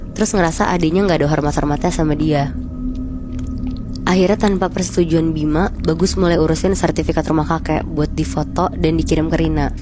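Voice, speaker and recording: Over music in the background, a woman speaks at a fairly quick pace with a very deep, low pitch and a relaxed tone. Her intonation stays fairly even and her loudness very even. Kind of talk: horror story retelling, casual storytelling to listeners. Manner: conversational, relaxed.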